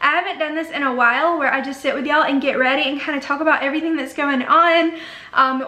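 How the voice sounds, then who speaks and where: A woman with an Alabama accent speaks in a raised, projected voice at a high pitch with ordinary pitch variation. Noticeable background noise and audible room echo fill the recording. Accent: Southern US (Alabama). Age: 20s. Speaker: beauty YouTuber. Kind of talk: casual chat. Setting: home bedroom. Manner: chatty, filler-heavy.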